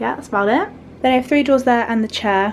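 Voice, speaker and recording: Over light background noise, a woman with a British accent speaks in a high pitch. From UK. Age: young. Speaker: student vlogger. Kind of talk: vlog room tour. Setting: student bedroom. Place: home room. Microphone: phone near.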